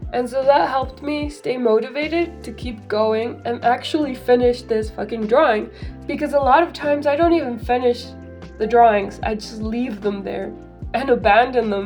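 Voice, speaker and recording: Over music in the background, a woman with a fairly high pitch speaks at a moderate pace. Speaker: digital artist. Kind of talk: casual voiceover over speedpaint.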